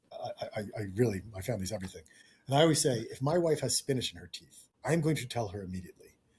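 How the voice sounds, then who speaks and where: A somewhat breathy man with an American accent talks at a very fast pace, with lively intonation and big swings in loudness. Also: medium pitch for a man. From New York. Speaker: tech product management director. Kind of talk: casual interview chat. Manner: animated.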